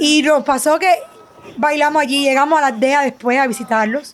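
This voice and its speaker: A woman talks at a moderate pace with ordinary pitch variation. Music plays in the background. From Cuba, Havana. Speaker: sonographer and business owner. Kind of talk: testimony interview.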